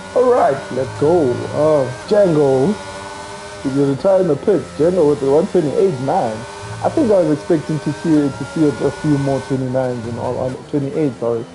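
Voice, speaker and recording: The voice moves at a moderate pace with noticeable background noise behind it. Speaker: sim racing commentator. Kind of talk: live commentary. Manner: loud.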